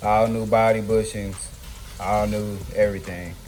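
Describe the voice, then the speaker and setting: Speaking at a moderate pace, a man is heard with audible room echo and noticeable background noise. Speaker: DIY car builder. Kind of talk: casual how-to vlog. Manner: loud; casual.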